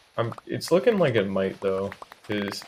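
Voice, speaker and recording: Against noticeable background noise, a man with a fairly low pitch speaks at a fairly quick pace. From US South (southwest Florida). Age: 18. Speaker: gaming livestreamer. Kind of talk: casual chat. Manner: casual, filler-heavy.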